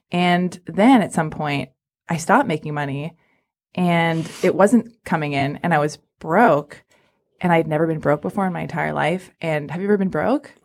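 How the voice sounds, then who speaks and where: With a plain, everyday voice, a woman speaks at a fairly low pitch and a moderate pace, using ordinary pitch variation on a very clean recording with a silent background. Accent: American. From Los Angeles, US. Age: 30s. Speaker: podcast host. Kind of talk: casual chat. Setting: studio.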